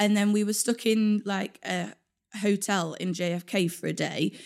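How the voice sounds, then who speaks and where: Speaking in a London accent at a moderate pace, the voice keeps a fairly even intonation on a very clean recording with a silent background. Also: woman. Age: 20s. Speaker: wheelchair user and traveller. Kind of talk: casual interview.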